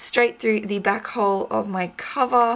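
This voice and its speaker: Speaking at a very slow pace with an Australian accent, a woman is heard over noticeable background noise. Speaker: junk journal artist, craft YouTuber. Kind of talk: crafting tutorial, casual chat. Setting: home craft table. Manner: casual, chatty.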